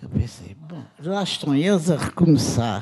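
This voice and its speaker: A woman speaks at a fairly slow pace with a very deep, low pitch and a dark, mellow tone, over a quiet background. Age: 70s. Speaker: film editor and director; panelist. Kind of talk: panel testimony. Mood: lively, humorous storytelling. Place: hall. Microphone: handheld.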